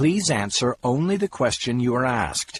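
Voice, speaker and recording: A man performs a put-on character voice at a moderate pace. The sound is dry and close, with no echo. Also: medium pitch for a man, lively intonation. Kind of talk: courtroom speech. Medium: read story. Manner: firm, formal.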